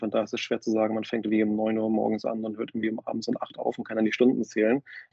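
A man speaks at a medium pitch. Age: 30s. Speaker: fintech business developer and angel investor. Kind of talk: casual interview. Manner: halting, many fillers and repetitions.

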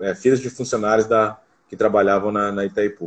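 A man's fairly low-pitched voice, an unremarkable speaking voice, at a fairly quick pace with ordinary pitch variation. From Foz do Iguaçu, Paraná, Brazil. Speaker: basketball coach. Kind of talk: casual interview.

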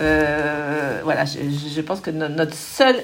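Audible room echo and noticeable background noise surround a woman with a very deep, low voice. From Paris, France. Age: 50s. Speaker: bike rental company executive. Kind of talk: interview. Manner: hesitant, many fillers.

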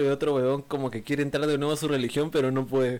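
Speaking at a very fast pace, a man keeps his pitch fairly high. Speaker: podcast co-host. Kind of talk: casual chat.

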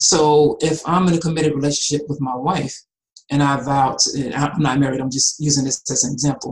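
A man's fairly high, somewhat breathy voice in an American accent, fairly quick and monotone with flat intonation. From US South, Atlanta, Georgia. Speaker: animal rights activist. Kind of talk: casual chat.

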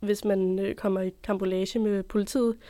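At a fairly slow pace, a woman speaks with a medium pitch on a very clean recording with a silent background. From Denmark, Copenhagen. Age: 20s. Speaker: journalism student. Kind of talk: interview storytelling. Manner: hesitant, many fillers.

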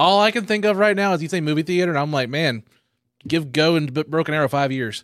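Speaking with an Oklahoma accent, a man talks at a very fast pace with ordinary pitch variation. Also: fairly high pitch for a man. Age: 30s. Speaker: comedian and podcast host. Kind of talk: casual chat. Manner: playful, does funny voices.

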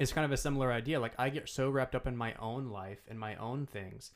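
A man speaks at medium pitch and a moderate pace, with ordinary pitch variation and an unremarkable speaking voice. The recording is very clean, with a silent background. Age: 20s. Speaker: podcast host, law student. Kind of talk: casual chat.

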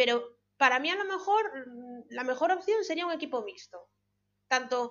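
A woman with a Galician accent at a moderate pace, her pitch swinging very widely. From Galicia, Spain (born abroad). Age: 30s. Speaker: veterinarian. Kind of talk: casual chat.

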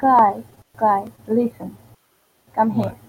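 A woman with a Venezuelan accent speaks at a fairly high pitch, somewhat breathy, with fairly even intonation. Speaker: digital artist. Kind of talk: casual chat. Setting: online voice chat.

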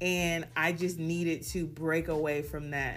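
A woman speaks with a very deep, low pitch in an animated tone. Audible room echo surrounds her voice. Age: 20s. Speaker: podcast host. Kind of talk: solo monologue.

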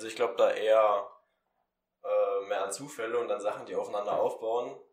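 A man speaks fairly quickly. The room echo is audible. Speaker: student radio presenter. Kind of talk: casual chat; humorous poem reading.

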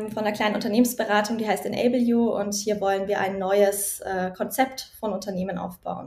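This woman talks at a moderate pace. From Germany, Nuremberg area. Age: 30s. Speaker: doctoral researcher and founder. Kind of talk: interview. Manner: hesitant, many fillers.

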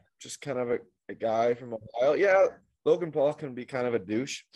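A man with a normal speaking voice talks at a fairly quick pace, his pitch fairly high. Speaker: podcast co-host. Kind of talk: casual banter podcast. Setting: remote video call, spotty connection.

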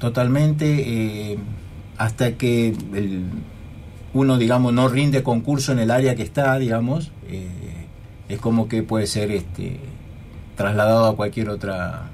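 A man's medium-pitched voice with ordinary pitch variation, a fairly slow pace, long and frequent pauses, and audible room echo. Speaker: university administrator. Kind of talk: radio interview. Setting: radio studio.

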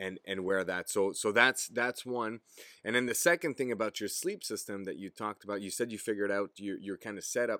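A man with a French Canadian accent speaks at a fairly quick pace in a bright, sharp tone, his fairly low pitch showing ordinary variation, in a very clean, dry and close recording with a silent background and no echo. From Quebec, Gatineau. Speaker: podcast host, outdoor content creator. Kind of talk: casual chat.

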